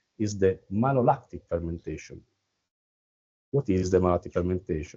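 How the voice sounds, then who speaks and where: Speaking at a fairly quick pace with an Italian accent, a man has a very deep, low pitch. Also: ordinary pitch variation. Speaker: winemaker. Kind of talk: wine tasting talk. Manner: halting.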